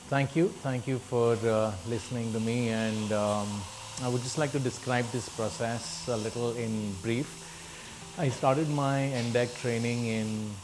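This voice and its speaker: Over noticeable background noise, a man talks at a fairly slow pace with fairly even intonation. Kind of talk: testimonial interview answer. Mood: earnest, encouraging. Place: classroom.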